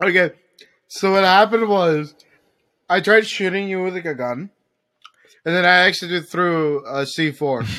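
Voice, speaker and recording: Bright and sharp in tone, a man speaks at a high pitch and a moderate pace. He leaves long, frequent pauses, and his pitch varies in an ordinary way. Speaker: gaming streamer. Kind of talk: casual gaming chat. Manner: stuttering.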